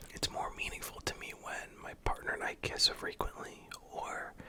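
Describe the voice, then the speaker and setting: Whispering at a moderate pace amid noticeable background noise. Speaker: hospital worker and streamer. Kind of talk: ASMR whisper video, casual talk to viewers. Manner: whispered.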